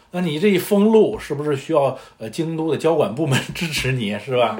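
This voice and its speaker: Over noticeable background noise and audible room echo, a man talks fairly quickly in a fairly high voice whose pitch swings very widely. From northern China. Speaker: podcast co-host. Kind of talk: casual chat.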